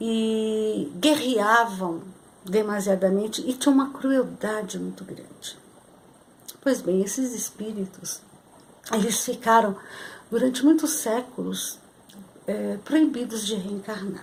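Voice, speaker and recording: Against noticeable background noise, a woman speaks very slowly in a fairly high pitch, with ordinary pitch variation, big swings in loudness and long, frequent pauses. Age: 60s. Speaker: spiritual channel host. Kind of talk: spiritual talk to camera. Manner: halting, many fillers.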